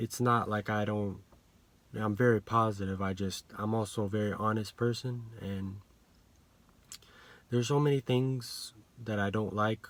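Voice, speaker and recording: Pausing long and often, a man speaks at a moderate pace with a fairly low pitch and fairly even intonation. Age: 20s. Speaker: vlogger. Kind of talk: casual monologue. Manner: halting.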